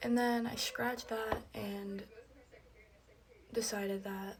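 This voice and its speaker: A woman speaks in a fairly high pitch with flat, monotone intonation. The room echoes audibly, and there is noticeable background noise. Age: 20s. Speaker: beauty vlogger. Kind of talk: casual chat. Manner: casual, rambling filler words.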